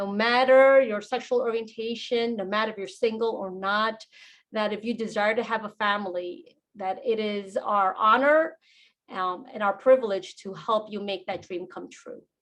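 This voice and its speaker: A woman with a Spanish accent speaks at a moderate pace and fairly high pitch, with ordinary pitch variation and big swings in loudness. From New York. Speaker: fertility doctor. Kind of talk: webinar presentation.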